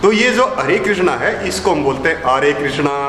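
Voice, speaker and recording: A man speaks with lively intonation. Noticeable background noise and audible room echo fill the recording. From Haryana, India. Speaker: scientist and inventor. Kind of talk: interview.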